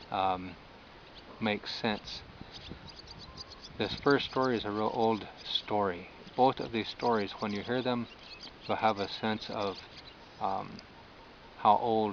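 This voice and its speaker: Speaking very slowly with an American accent, a man uses a fairly low pitch and fairly even intonation. Long, frequent pauses break up his speech, and there is noticeable background noise. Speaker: storyteller. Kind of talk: oral storytelling. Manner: hesitant, many fillers.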